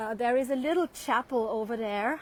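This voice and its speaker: A woman with a German accent speaks at a moderate pace, her fairly high pitch showing ordinary pitch variation. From Austria, Vienna. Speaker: tour guide. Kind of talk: live online walking tour. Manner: hesitant, many fillers.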